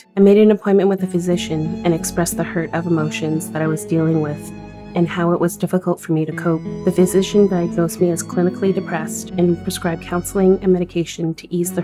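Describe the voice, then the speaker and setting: A woman speaks fairly quickly while music plays behind her. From Yellowknife, Northwest Territories, Canada. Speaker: digital storytelling participant. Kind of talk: personal digital story narration.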